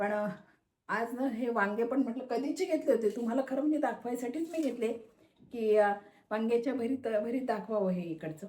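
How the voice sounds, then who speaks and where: Her voice has a dark, mellow tone and a fairly high pitch, and this woman uses ordinary pitch variation. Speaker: cooking video creator. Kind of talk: cooking tutorial. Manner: casual, chatty.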